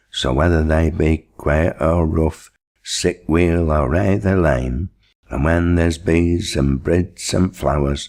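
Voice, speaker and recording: Speaking with a Lancashire accent at a very slow pace, this voice holds a very even loudness and fairly even intonation. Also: man, very deep, low pitch for a man. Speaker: poetry reader. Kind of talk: dialect poetry reading.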